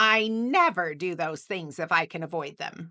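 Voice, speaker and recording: Using a put-on character voice, a woman with a fairly low pitch speaks in a grumpy tone. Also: moderate pace. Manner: sour, grumpy.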